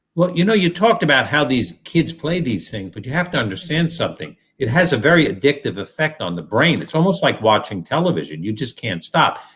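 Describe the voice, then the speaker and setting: A man's fairly high-pitched voice with vocal fry, very wide pitch swings, a fairly quick pace and hardly any pauses. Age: 60s. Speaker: doctor, guest. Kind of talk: casual chat. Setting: live online show.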